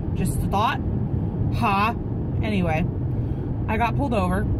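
The sound is dry with no echo as a woman speaks over loud background noise. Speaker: vlogger. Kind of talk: casual vlog storytelling. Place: car. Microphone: phone near.

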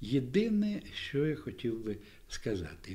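His speech is very slow. The man's tone is dark and mellow. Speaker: event host. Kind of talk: introductory speech. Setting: library event with audience. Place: hall. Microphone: studio mic.

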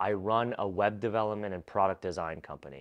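It is a plain, everyday voice at a moderate pace. The background is quiet. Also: man. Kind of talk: educational advice talk. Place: home room. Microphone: lapel.

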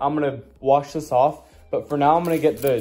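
A man speaks with a dark, mellow tone. Light background noise can be heard. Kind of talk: casual vlog chat. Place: garage. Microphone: phone near.

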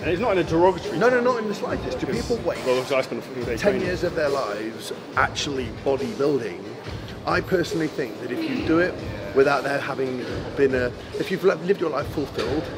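Behind him, music plays. The man talks at a very fast pace. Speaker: bodybuilding coach. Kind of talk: interview answer. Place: gym.

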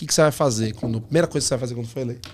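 With ordinary pitch variation, a man's voice comes through light background noise. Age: 30s. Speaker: podcast host. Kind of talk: casual chat. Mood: playful, upbeat. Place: studio. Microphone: studio mic.

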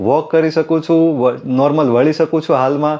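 The man's tone is dark and mellow. His pitch sits fairly high, and his intonation stays fairly even. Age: 40s. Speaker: optician, patient. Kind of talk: testimony.

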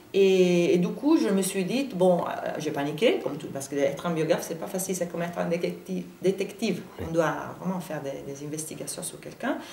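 A woman with an Italian accent, her pitch fairly low, her pitch variation ordinary, big swings in loudness, audible room echo and light background noise. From Italy. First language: Italian (speaking French). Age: 40s. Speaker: journalist and biographer; journalist. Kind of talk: interview. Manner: halting. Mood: thoughtful, lightly animated. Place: studio.

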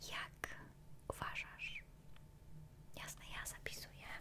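Over loud background noise, a soft-spoken woman whispers at a very slow pace. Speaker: ASMR creator. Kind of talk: soft-spoken ASMR roleplay questions. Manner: close, soft ASMR whisper. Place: home room. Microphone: studio mic.

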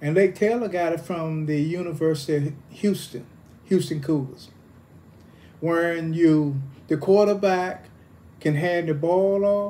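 A man's high-pitched voice with a dark, mellow tone, fairly even intonation, and long, frequent pauses. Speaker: football coach. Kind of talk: interview answer. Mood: calm, reminiscing. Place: home room. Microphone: phone near.

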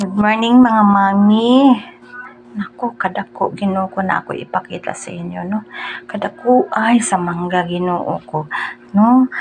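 Spoken at a fairly slow pace in a Cebuano accent, with ordinary pitch variation. The loudness swings widely, and background noise is noticeable. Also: woman, medium pitch for a woman. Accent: Cebuano (Bisaya) Filipino. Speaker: vlogger. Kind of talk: casual vlog talk while eating. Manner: animated.

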